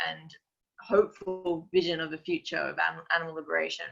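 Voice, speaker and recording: At a moderate pace, a woman speaks with an Australian accent. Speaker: activist and strategist. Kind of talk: webinar talk.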